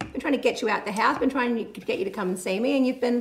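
Very fast speech in an Australian accent over light background noise. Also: woman. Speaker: musician and show host. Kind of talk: casual chat. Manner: animated. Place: home room. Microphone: studio mic.

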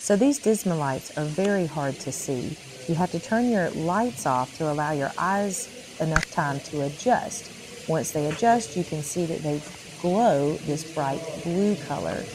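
Noticeable background noise sits under the voice. The delivery comes at a fairly slow pace. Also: woman, very deep, low pitch for a woman. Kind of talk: explanatory commentary. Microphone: phone near.

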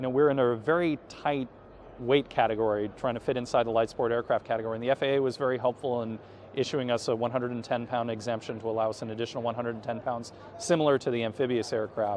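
At a fairly quick pace, a man talks with fairly even intonation in a dry sound with no echo and light background noise. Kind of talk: interview answer. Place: hall. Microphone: camera far.

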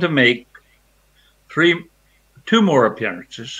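A man speaks with an American accent in a bright, sharp tone. His intonation is lively. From US South. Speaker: rockabilly singer; guest. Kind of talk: interview. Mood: warm, nostalgic. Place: home room.

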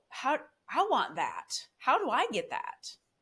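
Lively intonation from a woman with an American accent. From Michigan, Grand Rapids; Michigan. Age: 40s. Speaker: guest sharing faith testimony; guest. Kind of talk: testimony. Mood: earnest, emotional storytelling. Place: home room.

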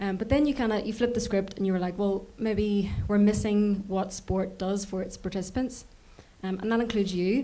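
A woman speaks in a Northern Irish accent with a dark, mellow tone. Her pace is moderate and her intonation fairly even. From Northern Ireland. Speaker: audience member. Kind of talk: audience question. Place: hall.

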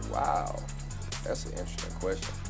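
Music plays clearly behind a man as he talks. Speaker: rapper. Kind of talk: interview answer. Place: studio.

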